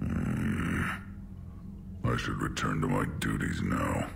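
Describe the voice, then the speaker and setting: A man performs a put-on character voice at a fairly slow pace. Loud noise fills the background. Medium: machinima. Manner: formal, clipped.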